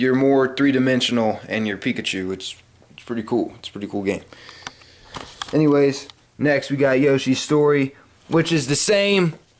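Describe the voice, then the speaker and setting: Noticeable background noise sits under a man speaking at a moderate pace, with big swings in loudness and long, frequent pauses. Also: fairly high pitch for a man, ordinary pitch variation. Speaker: gaming YouTuber. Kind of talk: casual vlog show-and-tell. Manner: animated.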